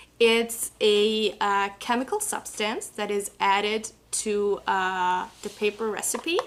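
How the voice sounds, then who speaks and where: A woman speaks at a very slow pace with a fairly high pitch and ordinary pitch variation. Noticeable background noise runs underneath. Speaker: paper company representative. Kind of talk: product explanation in live show. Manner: halting, with fillers.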